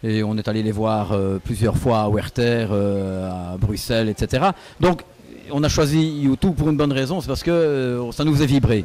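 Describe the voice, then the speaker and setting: A man speaks in a medium pitch with a dark, mellow tone and a slight Belgian accent. His intonation is lively and his pace moderate. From Belgium, Liège area. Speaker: singer in a cover band. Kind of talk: interview. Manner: hesitant, many fillers.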